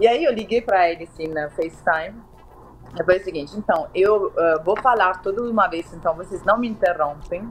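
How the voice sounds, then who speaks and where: Spoken at a moderate pace with ordinary pitch variation, the voice comes with a slight Italian accent. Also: woman, medium pitch for a woman. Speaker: marketing director and novelist. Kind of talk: interview, personal testimony.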